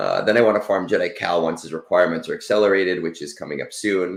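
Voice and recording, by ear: A man talks at a fairly quick pace. His voice is low-pitched with vocal fry.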